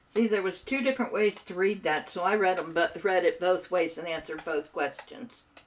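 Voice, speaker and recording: A woman with an American accent, medium pitch and ordinary pitch variation, speaking at a fairly quick pace with hardly any pauses over noticeable background noise. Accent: Appalachian-tinged US Midland. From Southern Ohio, US. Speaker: gaming streamer. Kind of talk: casual chat. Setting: live stream. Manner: animated.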